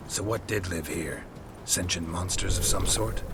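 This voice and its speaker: Loud background noise sits behind a man doing a put-on character voice. His pitch is very deep and low, and his pace is moderate. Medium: game stream. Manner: terse, dry.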